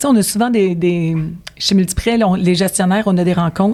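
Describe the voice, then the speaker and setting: Her medium-pitched voice moves at a fairly quick pace, as this woman speaks with ordinary pitch variation. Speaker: mortgage broker team manager. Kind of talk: casual interview. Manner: animated, talkative.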